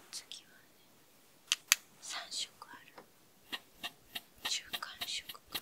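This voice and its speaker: Whispering from a woman at a very slow pace, with big swings in loudness and long, frequent pauses. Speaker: ASMR creator. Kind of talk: ASMR makeup roleplay, close, friendly talk to camera. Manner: whispered, soft-spoken. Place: home room.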